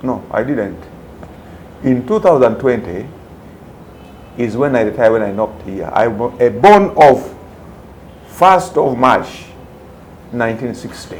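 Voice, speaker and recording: With audible room echo and noticeable background noise, a man speaks at a medium pitch and fairly slow pace, using lively intonation and long, frequent pauses. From Uganda. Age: 60s. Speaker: retired police commander, private security executive. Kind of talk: interview.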